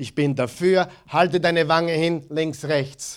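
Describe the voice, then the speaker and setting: On a very clean recording with a silent background, a man with a fairly high pitch speaks in an animated tone. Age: 40s. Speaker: pastor. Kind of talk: sermon.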